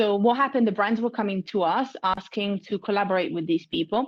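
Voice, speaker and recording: In an Italian accent with ordinary pitch variation, the voice comes through a very clean recording with a silent background. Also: woman. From Italy. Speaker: marketing consultant. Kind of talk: interview.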